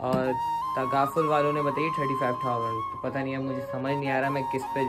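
A man talks at a moderate pace. Loud music can be heard in the background. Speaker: vlogger. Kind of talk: casual vlog chat. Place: home room. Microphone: phone near.

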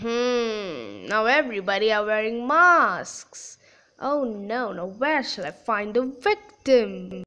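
A cartoonish, female-sounding character voice at a fairly high pitch and a very slow pace. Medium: puppet show. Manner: sneaky, villainous, frustrated.

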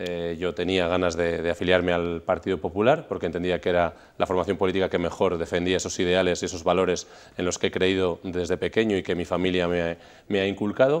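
Very deep and low in pitch, a man talks at a very fast pace with monotone, flat intonation. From Spain, Burgos; Spain. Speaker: regional parliament president; politician. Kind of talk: TV interview. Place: studio. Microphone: lapel.

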